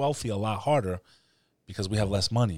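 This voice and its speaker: A man speaks in a New York accent at a fairly low pitch. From New York City. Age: 30s. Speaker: podcast host. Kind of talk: casual chat. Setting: studio.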